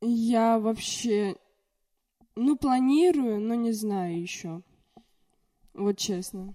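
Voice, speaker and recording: Speaking at a very slow pace with long, frequent pauses, a woman uses lively intonation in a fairly high-pitched voice with a dark, mellow tone. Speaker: podcast guest. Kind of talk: casual chat.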